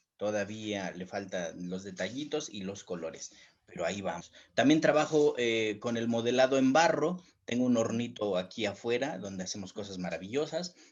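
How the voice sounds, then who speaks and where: Against a quiet background, a man talks at a moderate pace with lively intonation and a medium pitch. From Mexico, Tlaxcala. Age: 40s. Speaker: writer and independent publisher. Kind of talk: panel discussion. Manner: hesitant, many fillers.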